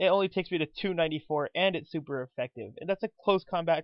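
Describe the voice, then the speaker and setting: Pitch moves in an ordinary way. The words come at a very fast pace. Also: man. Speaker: gaming commentator. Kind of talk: live game commentary. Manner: animated.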